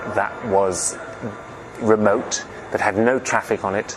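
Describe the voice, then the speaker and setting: Against music in the background, a man speaks at a fairly low pitch with fairly even intonation. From England (moved from Germany at seven). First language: German. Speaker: film director. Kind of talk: interview.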